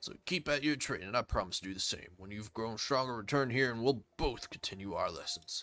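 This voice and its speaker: In a put-on character voice that is raspy, a man with a medium pitch speaks at a fairly quick pace with hardly any pauses and big swings in loudness. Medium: game stream. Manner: earnest, steady.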